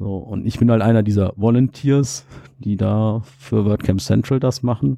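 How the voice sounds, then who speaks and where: A man with a fairly low pitch and a dark, mellow tone speaks at a fairly slow pace with ordinary pitch variation. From Germany, Cologne. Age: 30s. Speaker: IT security manager and conference organizer. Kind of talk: podcast interview. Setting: on a sofa at a conference.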